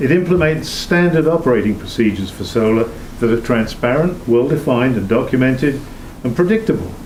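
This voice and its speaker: With lively intonation and a fairly quick pace, a man's speech comes through audible room echo and noticeable background noise. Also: medium pitch for a man. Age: old. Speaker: town committee volunteer. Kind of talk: public meeting presentation. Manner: fast.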